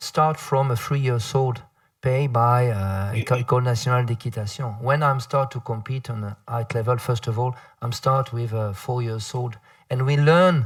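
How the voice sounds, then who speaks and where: A man's somewhat breathy, medium-pitched voice in a French accent. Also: very clean recording, silent background. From France. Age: 50s. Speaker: panel moderator. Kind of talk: panel discussion. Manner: halting.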